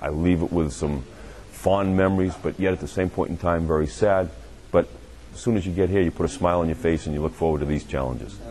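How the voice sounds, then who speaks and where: A man talks at a very fast pace in a New England accent. His pitch is very deep and low, and his intonation is lively. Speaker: American football head coach. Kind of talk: interview.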